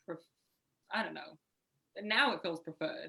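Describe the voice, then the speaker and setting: This woman, speaking with an English accent, has a medium pitch. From Southwest England. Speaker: urban farmer. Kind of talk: interview.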